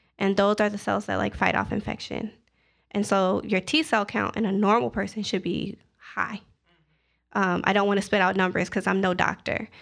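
The speaker has an American accent and vocal fry, talking at a moderate pace with fairly even intonation over a quiet background. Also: woman, medium pitch for a woman. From Zion, Illinois, US Midwest. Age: 30s. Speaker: HIV awareness advocate, corporate worker. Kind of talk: personal testimony in casual interview.

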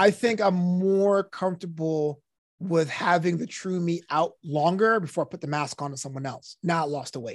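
Speaking at a moderate pace, a man shows ordinary pitch variation and big swings in loudness. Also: quiet background. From New York, Brooklyn. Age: 30s. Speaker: DJ, comedian and author. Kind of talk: casual chat. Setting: podcast studio.

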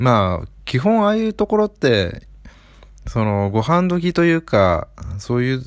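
With a relaxed tone and very wide pitch swings, the speaker goes at a fairly slow pace in a very clean recording with a silent background. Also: man. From Japan, Aichi. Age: 30s. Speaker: book podcaster. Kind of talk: casual monologue. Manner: relaxed, filler-heavy.

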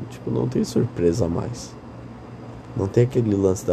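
Very deep and low, a man's voice swings very widely in pitch. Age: 20s. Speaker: podcaster. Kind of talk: casual monologue. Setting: lying in bed at night. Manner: rambling, drowsy with yawns.

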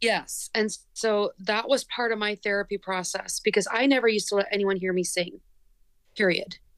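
With an unremarkable speaking voice and an American accent, a woman talks at a moderate pace, pitched fairly high, with ordinary pitch variation. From United States. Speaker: lead singer of a band. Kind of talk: casual interview.

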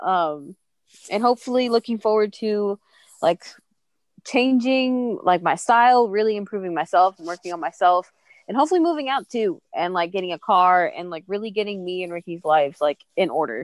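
A plain, everyday voice with an American accent and lively intonation comes at a moderate pace, in a dry, close sound with no echo against a quiet background. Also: woman, medium pitch for a woman. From Texas. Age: 20s. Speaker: podcast guest. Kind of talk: casual chat.

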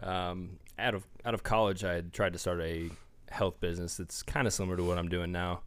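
Speaking at a fairly quick pace with an American accent, a man with a very deep, low pitch keeps a monotone, flat intonation. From small-town northeast Indiana. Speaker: fitness magazine publisher. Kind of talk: casual chat. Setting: studio.

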